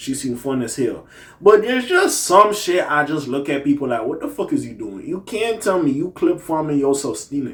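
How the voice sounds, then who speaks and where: A man speaks in an animated tone at a moderate pace. His fairly high voice makes very wide pitch swings. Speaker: commentary YouTuber. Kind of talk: casual commentary rant.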